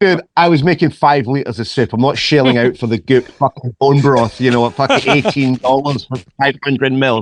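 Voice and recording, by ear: Moving at a moderate pace with hardly any pauses, a man with a Scottish accent and ordinary pitch variation is heard in a dry, close sound with no echo. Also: medium pitch for a man.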